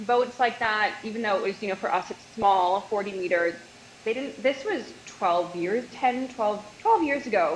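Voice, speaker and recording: With a Canadian accent, a woman speaks at a moderate pace and a fairly high pitch with ordinary pitch variation, over noticeable background noise. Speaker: nutritionist, former yacht stewardess. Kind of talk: casual interview chat.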